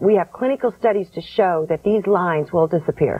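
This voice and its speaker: A woman's voice at a moderate pace, with ordinary pitch variation. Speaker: skincare product developer. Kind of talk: infomercial interview answer. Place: studio.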